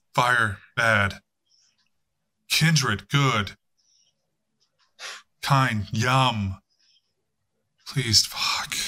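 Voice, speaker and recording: A raspy, put-on character voice moves at a very slow pace, broken by long, frequent pauses. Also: man, medium pitch for a man. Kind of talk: game master improvised character voice. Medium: actual play. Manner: brusque, profane, commanding.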